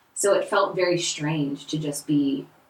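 Over noticeable background noise, a woman with an American accent speaks at a fairly low pitch. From California. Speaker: essential oils business owner. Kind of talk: casual chat. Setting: roundtable recorded in person.

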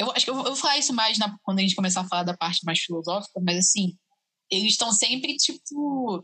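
Talking at a fairly quick pace, a woman has an ordinary speaking voice at a medium pitch. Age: 20s. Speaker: biomedicine student. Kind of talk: casual chat. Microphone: audio problems.

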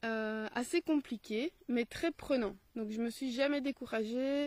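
With a Belgian accent, a woman with a high voice speaks at a fairly slow pace and ordinary pitch variation, the sound dry and close with no echo. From Belgium. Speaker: teacher and video blogger on philosophy. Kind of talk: solo video commentary. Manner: hesitant, with frequent fillers.

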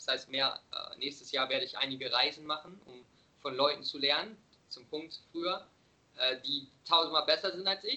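A man talks at a moderate pace with an unremarkable speaking voice, fairly high in pitch. His pitch varies ordinarily while his loudness swings widely. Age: 20s. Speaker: vegan nutrition coach and podcaster. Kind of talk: casual interview chat. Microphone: occasionally bad connection.

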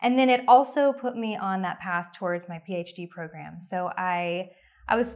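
A woman with an American accent speaks in a normal speaking voice at medium pitch and a moderate pace. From Oklahoma. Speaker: pro-life ministry leader and adoptive mother. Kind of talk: interview.

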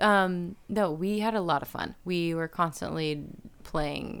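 This woman has a normal speaking voice, fairly low in pitch, and she talks at a fairly slow pace with fairly even intonation on a very clean recording with a silent background. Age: 30s. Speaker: singer. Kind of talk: casual chat.

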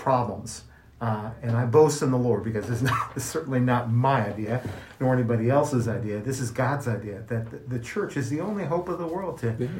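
A man's medium-pitched voice with an American accent, moderate pace, ordinary pitch variation, and audible room echo. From US Midwest, Kansas City, Missouri. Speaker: podcast co-host. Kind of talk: casual chat.

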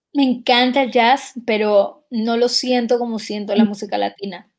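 A woman's unremarkable speaking voice, fairly high in pitch, with fairly even intonation and a fairly slow pace. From Ecuador. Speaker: singer. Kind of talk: interview.

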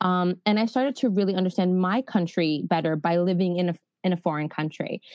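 The speaker talks at a fairly quick pace with a New York accent. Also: woman. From New York City. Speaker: internship program founder. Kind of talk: interview.

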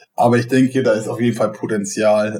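Keeping fairly even intonation, a man with a medium pitch talks fairly quickly. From northern Germany, Schleswig-Holstein. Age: 30s. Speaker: startup operations manager. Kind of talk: casual interview. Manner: fast.

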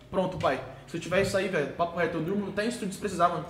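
Through noticeable background noise and audible room echo, a man speaks with a high pitch. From Brazil, São Paulo state (Sorocaba region). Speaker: funk singer. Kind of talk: casual chat.

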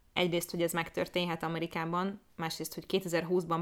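Delivery is fairly quick, in a monotone, flat intonation. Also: woman. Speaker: podcast co-host. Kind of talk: casual chat.

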